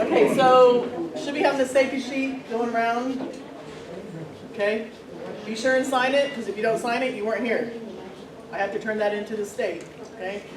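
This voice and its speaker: A woman talks at a fairly high pitch and moderate pace, with ordinary pitch variation and long, frequent pauses. The room echo is audible, and background noise is noticeable. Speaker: transportation safety and records coordinator. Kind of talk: staff meeting briefing. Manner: loud, projecting.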